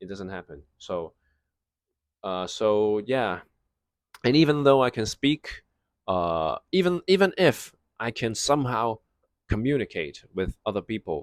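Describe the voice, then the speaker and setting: A man with a non-native accent speaks at a fairly slow pace and medium pitch, with long, frequent pauses, very wide pitch swings and big swings in loudness, in a dry, close sound with no echo on a very clean recording with a silent background. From Hong Kong. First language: Cantonese. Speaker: vlogger. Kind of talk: casual storytime monologue. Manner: halting, many fillers and restarts.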